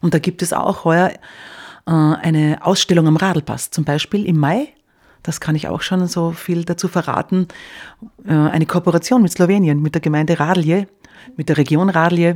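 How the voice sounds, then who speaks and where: A woman speaks in a fairly low voice at a moderate pace, with fairly even intonation. Long, frequent pauses break up her speech in a very clean recording with a silent background. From Styria, Austria. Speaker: cultural association organiser. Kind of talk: radio interview.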